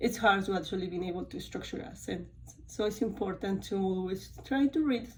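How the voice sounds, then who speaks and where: With a Spanish accent, a woman speaks at a medium pitch amid audible room echo. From Spanish-speaking country. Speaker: college student. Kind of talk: course reflection talk. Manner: halting, with many fillers.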